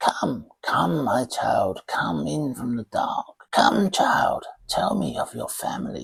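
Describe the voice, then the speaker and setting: A man uses a put-on character voice that is croaky and raspy, speaking at a fairly slow pace. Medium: read story. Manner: dithering, doddering.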